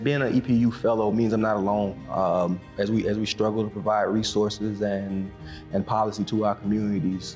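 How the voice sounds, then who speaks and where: Music plays in the background as a man with a Southern US accent talks in a fairly low pitch with fairly even intonation. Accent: Southern US (Georgia). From Macon, Georgia, USA. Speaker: county commissioner. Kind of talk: interview answer.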